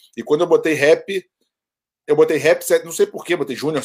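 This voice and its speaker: A man is talking here. His pace is moderate, and his pitch varies in an ordinary way. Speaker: rap YouTuber and sports businessman. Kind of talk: casual chat. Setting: video call.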